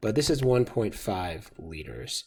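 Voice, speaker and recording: On a very clean recording with a silent background, a man speaks with lively intonation. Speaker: chemistry teacher. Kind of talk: tutorial. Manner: fast.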